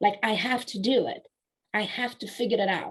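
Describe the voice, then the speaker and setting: In a Romanian accent, the speaker talks at a moderate pace with fairly even intonation. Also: woman. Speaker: author and business coach. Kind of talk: interview testimony.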